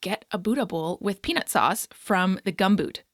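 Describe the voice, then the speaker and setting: A woman with a Canadian accent and an unremarkable speaking voice, moderate pace and ordinary pitch variation, dry and close with no echo, on a very clean recording against a silent background. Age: 30s. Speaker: podcast host and fitness coach. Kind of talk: scripted guest introduction; podcast interview.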